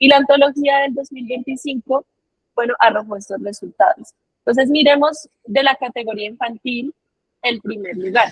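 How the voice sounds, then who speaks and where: Heard in a dry, close sound with no echo, a woman speaks at a high pitch with big swings in loudness. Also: ordinary pitch variation, moderate pace. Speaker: writing workshop facilitator. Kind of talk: online workshop.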